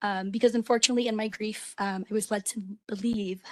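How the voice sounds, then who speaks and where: A woman speaks at a fairly quick pace. Her voice is somewhat breathy, with fairly even intonation. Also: dry, close sound with no echo. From immigrant, grew up in the US from age six. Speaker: bereaved parent and safety advocate. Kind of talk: public testimony. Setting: public commission hearing. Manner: hesitant, many fillers.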